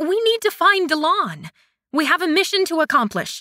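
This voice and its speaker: A moderate pace in a woman's put-on character voice at an extremely high pitch. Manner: bristling, flustered.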